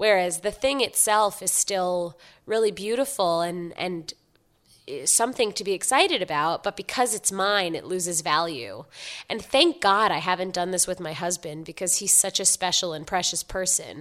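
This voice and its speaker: On a very clean recording with a silent background, a woman with an American accent speaks in an unremarkable speaking voice at a medium pitch and a moderate pace. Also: ordinary pitch variation. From New York City, Upper East Side Manhattan. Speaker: website founder and writer. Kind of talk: interview.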